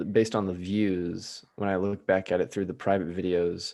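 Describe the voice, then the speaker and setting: The recording is very clean with a silent background. A man with a Midwestern American accent speaks at a fairly low pitch with fairly even intonation. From US Midwest. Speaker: hypnotist. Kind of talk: casual chat.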